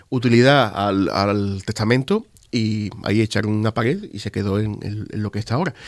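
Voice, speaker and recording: A man with a medium pitch talks at a moderate pace with ordinary pitch variation. The recording is very clean, with a silent background. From Spain, Andalusia (Seville province, Marchena). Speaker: exhibition curator. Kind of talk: interview conversation. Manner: halting, many fillers and repetitions.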